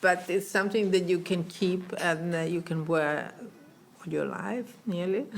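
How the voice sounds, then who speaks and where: A woman speaks with an Italian accent at a fairly low pitch. Her pace is fairly slow and her intonation fairly even. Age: old. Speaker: fashion designer. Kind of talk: interview. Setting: in person in Milan. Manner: halting.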